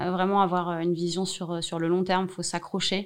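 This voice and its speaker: The recording is very clean, with a silent background, and the speech has a monotone, flat intonation. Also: woman. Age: 40s. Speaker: social enterprise director. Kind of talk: interview.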